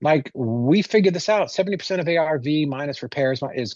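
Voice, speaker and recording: Speaking fairly quickly in a plain, everyday voice, a man uses a fairly high pitch and lively intonation. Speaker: real estate transaction coordinator. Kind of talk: casual podcast interview.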